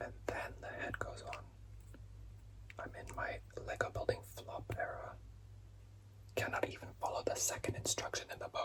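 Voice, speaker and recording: A man whispering with long, frequent pauses amid noticeable background noise. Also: moderate pace. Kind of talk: ASMR lego building and rambling. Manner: whispered, soft-spoken.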